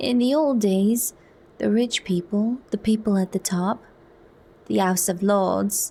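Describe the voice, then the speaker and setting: A woman talks fairly slowly in a fairly high, somewhat breathy voice with a dark, mellow tone and ordinary pitch variation. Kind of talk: soft narrated audiobook reading, ASMR. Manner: soft-spoken.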